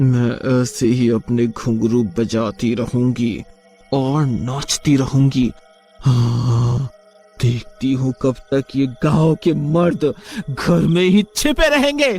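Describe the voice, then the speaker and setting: Faint music plays behind a man doing a cartoonish character voice at medium pitch and a very slow pace. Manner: menacing.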